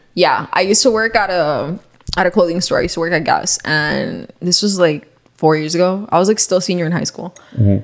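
A woman talks at a fairly quick pace in a fairly low voice with ordinary pitch variation. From Miami, US. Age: 20s. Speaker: journalism graduate. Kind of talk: casual chat.

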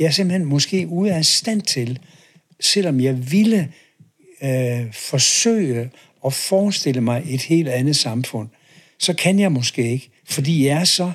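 Somewhat breathy, a man talks at a very slow pace with lively intonation. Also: fairly high pitch for a man. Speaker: professor emeritus and author on leadership. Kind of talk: interview conversation. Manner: hesitant, many filler words.

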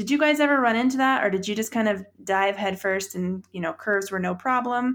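This woman has a plain, everyday voice, fairly high in pitch with ordinary pitch variation, speaking at a fairly quick pace on a very clean recording with a silent background. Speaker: podcast host. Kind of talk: casual interview.

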